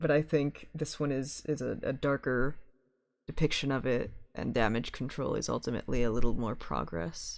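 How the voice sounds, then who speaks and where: At a moderate pace, a man talks in a medium pitch with vocal fry and ordinary pitch variation. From Belgium. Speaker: music producer streaming to fans. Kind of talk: live stream commentary. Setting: live stream. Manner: hesitant, many fillers.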